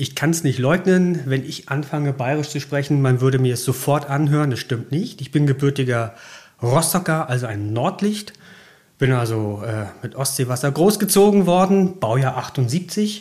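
At a moderate pace, a man with a fairly high pitch speaks in a somewhat breathy voice with lively intonation. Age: 40s. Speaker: rail freight manager. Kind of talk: interview. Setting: office at rail yard.

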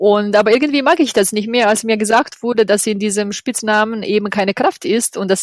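A woman with a Croatian accent talks at a fairly quick pace and a fairly high pitch. Her pitch varies in an ordinary way over noticeable background noise. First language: Croatian (speaking German). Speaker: yoga project organizer. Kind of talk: interview. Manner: halting.

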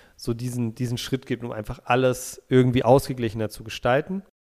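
In a very clean recording over a silent background, a plain, everyday voice goes along at a fairly quick pace. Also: man. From Berlin, Germany. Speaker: football podcast co-host. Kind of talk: casual chat.

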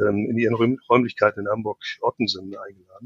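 This man has an unremarkable speaking voice, a medium pitch and fairly even intonation. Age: 50s. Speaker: project manager and process optimizer. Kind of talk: podcast interview.

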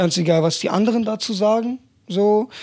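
A man talks at a moderate speed, his pitch rising and falling in an ordinary way. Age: 20s. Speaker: personal trainer and athletic coach. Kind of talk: casual chat. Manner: animated.

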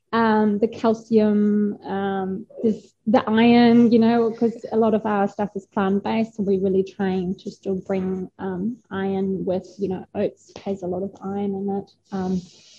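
The voice has a dark, mellow tone, somewhat breathy, with monotone, flat intonation at a fairly slow pace and hardly any pauses. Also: woman, medium pitch for a woman. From northern Germany. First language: German. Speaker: graphic designer and food business founder. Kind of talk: interview chat. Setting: kitchen. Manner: hesitant, many filler sounds.

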